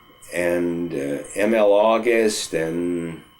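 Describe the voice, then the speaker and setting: Noticeable background noise runs under the recording. The man speaks with an American accent. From New England, US (Northampton, Massachusetts). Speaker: oral history interviewee. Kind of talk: oral history interview. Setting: at home. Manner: halting, many fillers and restarts.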